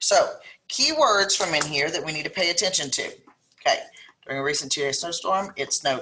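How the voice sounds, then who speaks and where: A woman talks with a South Louisiana accent. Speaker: math teacher. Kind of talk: lesson tutorial. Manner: casual, step-by-step explaining.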